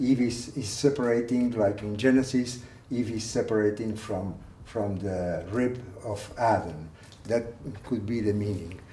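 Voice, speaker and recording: A man with a Spanish accent, ordinary pitch variation and audible room echo. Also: medium pitch for a man, fairly slow pace. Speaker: art collector. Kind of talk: guided tour. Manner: halting.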